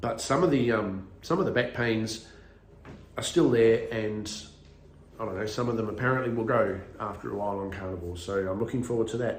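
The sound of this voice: With strong room echo around him, a man speaks at a moderate pace in a fairly low pitch with ordinary pitch variation.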